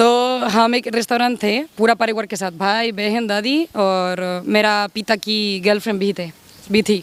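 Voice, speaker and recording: A woman with a Spanish accent talks at a fairly high pitch with ordinary pitch variation and hardly any pauses. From Spain. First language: Spanish (speaking Hindi). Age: 40s. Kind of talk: interview. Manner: halting, non-native Hindi.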